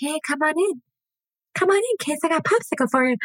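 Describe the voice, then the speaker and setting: A put-on character voice, high-pitched, delivered at a fairly quick pace. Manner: creepy, luring, feigned friendliness.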